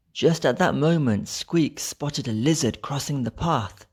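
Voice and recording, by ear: A man speaks at a fairly slow pace with ordinary pitch variation. His tone is slightly mellow, with a slightly husky edge. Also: medium pitch for a man.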